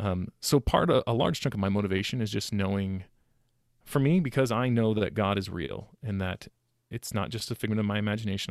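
A man with an American accent speaks at a fairly quick pace. The recording is very clean and dry, close with no echo and a silent background. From US West Coast, Sacramento, California. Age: 30s. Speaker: financial advisor. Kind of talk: interview.

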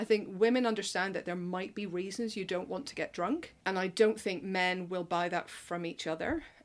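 A woman speaks in a Northern Irish accent at a moderate pace. Her pitch is medium, with ordinary variation. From Northern Ireland. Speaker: film journalist, podcast co-host. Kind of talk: casual interview chat.

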